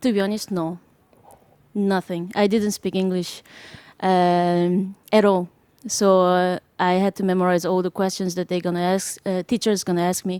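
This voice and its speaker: On a very clean recording with a silent background and a dry, close sound with no echo, a woman with a Korean accent speaks at a moderate pace and medium pitch in a flat monotone with a dark, mellow tone. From South Korea. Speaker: jazz drummer. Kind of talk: interview. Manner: hesitant, many fillers.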